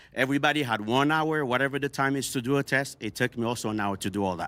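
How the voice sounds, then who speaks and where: Delivered at a fairly quick pace with ordinary pitch variation, this voice carries a Haitian accent on a very clean recording with a silent background. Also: man. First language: Haitian Creole. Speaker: panel guest. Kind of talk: heated debate. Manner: animated.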